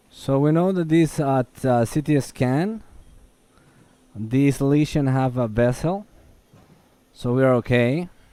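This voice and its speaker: Speaking at a very slow pace with long, frequent pauses, a man uses a medium-pitched, dark, mellow voice with a non-native accent. His intonation is lively. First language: Spanish. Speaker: endoscopist. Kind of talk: live procedure demonstration. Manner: halting.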